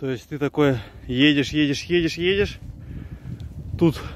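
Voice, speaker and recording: There's light background noise as a man talks at a fairly slow pace, his pitch varying in an ordinary way, with a dry sound and no echo. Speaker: hiker vlogger. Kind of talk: casual vlog chat. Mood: amazed, excited. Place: forest. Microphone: phone near.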